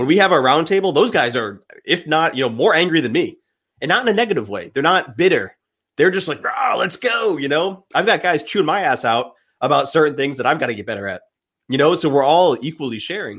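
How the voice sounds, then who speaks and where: The speech runs at a fairly quick pace with very wide pitch swings and vocal fry. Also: man, fairly high pitch for a man. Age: 30s. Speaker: men's coach and podcaster. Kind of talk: casual chat.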